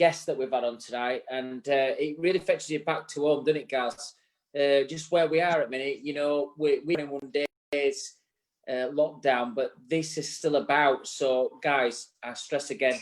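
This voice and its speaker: The speaker has a Yorkshire accent. The pace is moderate and the intonation fairly even. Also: man, fairly high pitch for a man. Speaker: barbering show co-host. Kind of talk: casual live show chat. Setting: live online show. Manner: halting.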